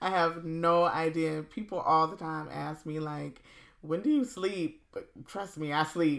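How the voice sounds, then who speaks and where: Heard in a very clean recording with a silent background, a woman with an American accent talks in a normal speaking voice at a fairly slow pace, fairly low in pitch, with ordinary pitch variation and big swings in loudness. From US South, South Carolina Low Country. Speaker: podcast host. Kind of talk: casual interview.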